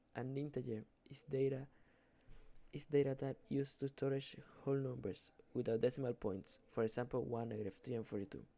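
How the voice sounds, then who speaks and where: Pausing long and often, a man talks at a fairly quick pace in a medium pitch, with a dark, mellow tone and fairly even intonation. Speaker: student. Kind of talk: class presentation. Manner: halting, with self-corrections.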